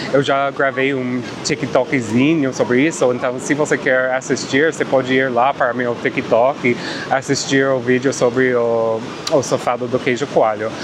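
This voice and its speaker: A man with a non-native accent, speaking at a fairly slow pace in a flat monotone, with noticeable background noise. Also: medium pitch for a man. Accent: noticeable foreign accent in Portuguese. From Canada. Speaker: travel vlogger. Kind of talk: casual vlog narration. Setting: outdoors on a beach.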